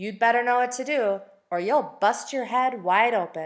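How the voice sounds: Put-on, gravelly character voice from a woman, fairly high in pitch, at a moderate pace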